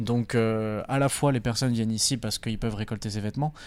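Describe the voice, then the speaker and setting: A man speaks in a medium pitch. The audio is very clean, and the background is silent. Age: 20s. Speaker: doctoral student, volunteer organizer. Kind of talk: casual interview talk.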